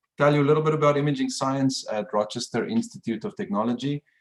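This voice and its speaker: A man with a South African accent at a fairly quick pace, with very wide pitch swings. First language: Afrikaans. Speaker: professor. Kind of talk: lecture.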